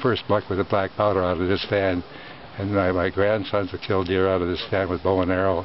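A man with an American accent speaks at a fairly low pitch in a flat monotone, the sound dry with no echo over light background noise. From US Midwest, northern Wisconsin. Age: 90s. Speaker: hunter. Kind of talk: interview. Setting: outdoors. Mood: proud, nostalgic, cheerful. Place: forest.

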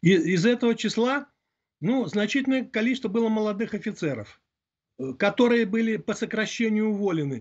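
Against a quiet background, a man with a high voice talks at a moderate pace with ordinary pitch variation and long, frequent pauses. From Belarus. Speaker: military analyst. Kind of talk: interview. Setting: remote call. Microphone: video call.

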